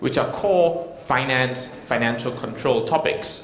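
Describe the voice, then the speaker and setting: A man with a Singaporean accent at a moderate pace, ordinary pitch variation, audible room echo and noticeable background noise. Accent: non-Indian accent, Singaporean. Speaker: technology consultant, conference speaker. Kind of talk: conference keynote talk. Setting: stage with audience, microphone. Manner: frequent filler words, some hesitation.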